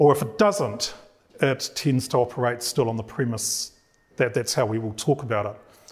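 Speaking at a moderate pace, a man with a New Zealand accent talks at a medium pitch. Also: ordinary pitch variation. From New Zealand (Māori). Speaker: professor. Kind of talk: lecture.

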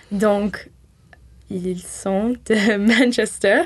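Here a woman speaks at medium pitch. Her pitch varies in an ordinary way. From southwest France (near Toulouse, Tarn). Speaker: university student. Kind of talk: radio interview.

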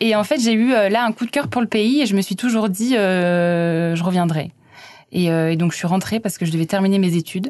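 A woman with a medium pitch talks at a moderate pace, her loudness very even and her pitch varying in an ordinary way. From France, Auvergne (Clermont-Ferrand). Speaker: French language institute volunteer teacher. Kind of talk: casual interview. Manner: hesitant, many fillers.

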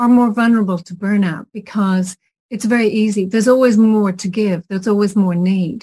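A woman with an Irish accent, somewhat breathy, her dark, mellow tone at a medium pitch with ordinary pitch variation, at a fairly quick pace, on a very clean recording with a silent background. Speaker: podcast host. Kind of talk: interview conversation.

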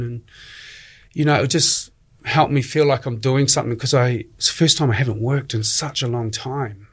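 A man with a New Zealand accent speaks in a somewhat breathy voice with ordinary pitch variation, recorded very cleanly against a silent background. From New Zealand, Dunedin. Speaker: community radio DJ. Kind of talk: interview.

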